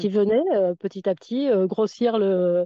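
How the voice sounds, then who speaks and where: A woman speaks very slowly with a fairly high pitch. Her pitch variation is ordinary. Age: 60s. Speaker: retired nordic walking coach. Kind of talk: casual interview. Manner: hesitant, repeating words.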